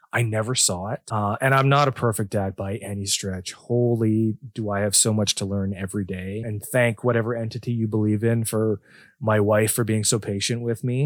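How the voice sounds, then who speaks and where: Recorded dry and close with no echo on a very clean, silent background, a man with a Canadian accent and a plain, everyday voice speaks at a moderate pace in a fairly low pitch. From southwestern Ontario, Canada. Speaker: podcast co-host, father. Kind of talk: casual chat.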